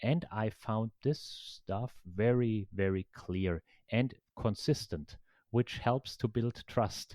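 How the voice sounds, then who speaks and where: In a German accent, the speaker talks at a very slow pace with a dark, mellow tone and ordinary pitch variation, on a very clean recording with a silent background and a dry, close sound with no echo. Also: man, medium pitch for a man. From Germany. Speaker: professor. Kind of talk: interview.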